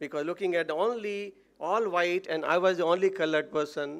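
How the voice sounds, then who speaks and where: In an Odisha accent, a man speaks high in pitch with ordinary pitch variation. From India, Odisha. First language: Odia. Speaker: motivational speaker. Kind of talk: motivational speech. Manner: halting.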